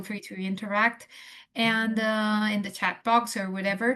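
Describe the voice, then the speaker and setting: The delivery is monotone and flat at a moderate pace, over a quiet background. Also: woman. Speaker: transplant nurse educator. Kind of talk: lecture. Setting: video call. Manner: halting, many fillers.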